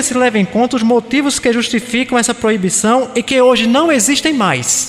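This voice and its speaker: A man with a Pernambuco accent speaks in an extremely high pitch and an animated tone. Noticeable background noise is present. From Pernambuco, northeast Brazil. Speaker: spiritist lecturer. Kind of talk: lecture. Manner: animated, rhetorical questions to audience.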